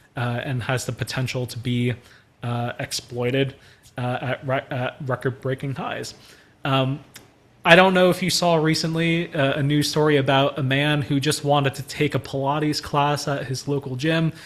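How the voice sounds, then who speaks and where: A man with a fairly high, somewhat breathy voice keeps fairly even intonation at a moderate pace. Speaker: church trainer on AI. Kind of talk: online training presentation.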